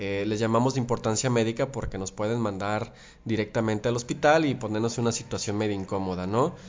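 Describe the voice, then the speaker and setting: A man with a medium pitch rushes along at a very fast pace, his pitch varying in an ordinary way. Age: 30s. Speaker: biologist and teacher. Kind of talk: interview. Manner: hesitant, with fillers.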